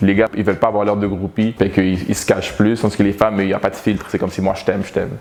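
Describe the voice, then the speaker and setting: The words come at a very fast pace with hardly any pauses. The intonation is monotone and flat, with noticeable background noise. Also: man, fairly low pitch for a man. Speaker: rapper. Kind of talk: interview. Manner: articulate.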